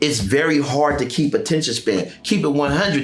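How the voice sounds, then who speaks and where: Noticeable background noise sits behind a man whose fairly high-pitched voice has an animated tone. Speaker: youth program founder and former school principal. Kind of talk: casual interview chat. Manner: loud.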